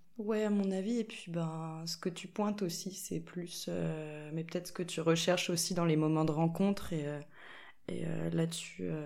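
A fairly slow voice with a dark, mellow tone and fairly even intonation, plus audible room echo. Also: woman, fairly low pitch for a woman. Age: 20s. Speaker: linocut printmaker. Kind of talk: casual chat. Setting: in-person recording in an echoey room.

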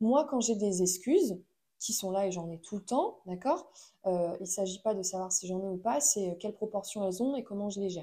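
A woman's dark, mellow voice with lively intonation, on a very clean recording with a silent background. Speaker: podcast host. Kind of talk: solo monologue podcast. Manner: hesitant with many fillers. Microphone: new microphone.

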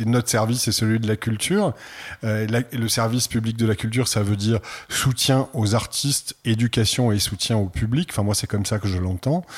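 A somewhat breathy man at a moderate pace and medium pitch, with very even loudness and ordinary pitch variation, on a very clean recording with a silent background. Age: 60s. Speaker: art centre director. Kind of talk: interview.

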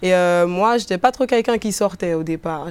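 Her intonation is lively. The woman speaks at a medium pitch. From Guadeloupe, countryside. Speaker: rapper. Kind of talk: interview. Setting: bookstore cultural space. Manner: hesitant, many fillers.

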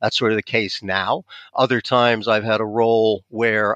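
A man with an American accent, medium pitch and a bright, sharp tone, in a dry, close sound with no echo over a quiet background. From US. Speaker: partnerships expert. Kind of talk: casual interview.

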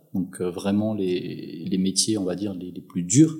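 A man's very deep, low voice, dark and mellow in tone, very slow, with ordinary pitch variation. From Madagascar. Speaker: entrepreneur. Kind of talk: interview. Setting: at his home.

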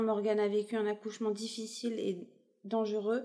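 Her tone dark and mellow, a woman speaks at a moderate pace and fairly high pitch in a monotone, flat intonation. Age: 30s. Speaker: expectant mother sharing her family story. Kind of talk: personal testimony interview.

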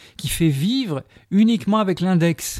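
A man's voice has a dark, mellow tone and lively intonation. He speaks at a moderate pace on a very clean recording with a silent background. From Algeria, moved to France in 1963. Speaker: sculptor. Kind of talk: reflective interview. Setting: his gallery-workshop.

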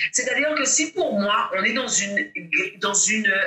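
A woman with a high pitch, very wide pitch swings and a fairly slow pace. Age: 40s. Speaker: mindset coach and public speaker. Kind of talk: interview. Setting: at home.

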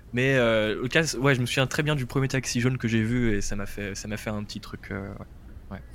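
A normal speaking voice at a moderate pace with fairly even intonation. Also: man, medium pitch for a man. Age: 20s. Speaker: radio journalist. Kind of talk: casual interview, travel story.

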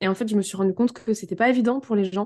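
Talking at a very fast pace, a woman has a dark, mellow tone and fairly even intonation. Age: 30s. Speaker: marketing entrepreneur. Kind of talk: casual chat.

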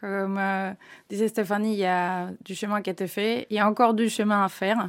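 With a Spanish accent, a woman talks at a medium pitch in a monotone, flat way. The recording is very clean, with a silent background. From Spain. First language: Spanish (speaking French). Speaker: engineering project manager. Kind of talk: corporate podcast interview.

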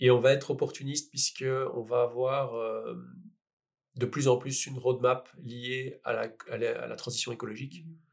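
Monotone, flat intonation marks the somewhat breathy voice of a man. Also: medium pitch for a man, moderate pace, big swings in loudness. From Belgium, Liège. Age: 40s. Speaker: entrepreneur. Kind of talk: interview. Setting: in person with host.

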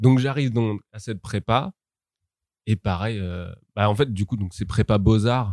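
Dry and close with no echo, a man speaks at a fairly low pitch with ordinary pitch variation. His pace is fairly slow, with long, frequent pauses. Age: 20s. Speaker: art student. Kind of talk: casual chat.

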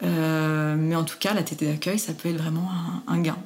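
Against noticeable background noise and audible room echo, a woman speaks at a fairly slow pace in a fairly low voice. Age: 30s. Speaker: lactation consultant and nurse. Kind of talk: interview.

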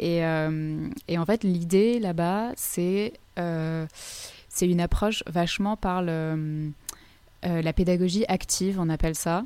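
A woman speaks very slowly. Her voice is fairly low, with a dark, mellow tone. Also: ordinary pitch variation. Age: 20s. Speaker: model and wellness coach. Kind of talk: casual interview. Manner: soft-spoken.

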